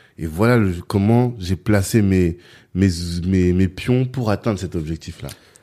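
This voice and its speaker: The dark, mellow voice moves at a fairly slow pace with ordinary pitch variation, on a very clean recording with a silent background. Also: man, very deep, low pitch for a man. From France, Orléans. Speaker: podcast host. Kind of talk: interview.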